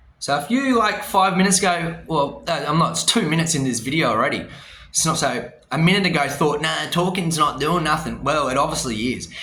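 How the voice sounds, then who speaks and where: A man with an Australian accent talks at a fairly quick pace. The recording carries audible room echo and noticeable background noise. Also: fairly high pitch for a man, lively intonation. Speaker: vlogger. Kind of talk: casual rant to camera. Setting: hotel room. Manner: animated.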